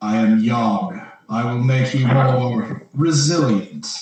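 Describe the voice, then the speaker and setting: In a put-on character voice, a man speaks at a fairly slow pace and medium pitch, with a slight echo. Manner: solemn, grand.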